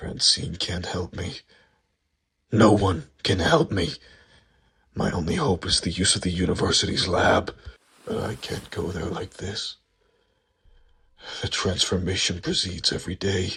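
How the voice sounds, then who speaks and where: A man puts on a character voice with a very deep, low pitch. He speaks at a moderate pace, with long pauses that come often. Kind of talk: first-person inner monologue. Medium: read story.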